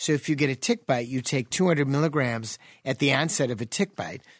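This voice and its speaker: A man with a plain, everyday voice talks at a fairly quick pace, fairly high in pitch, with lively intonation. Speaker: physician and radio show host. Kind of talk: call-in health radio show. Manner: jovial, laughs often.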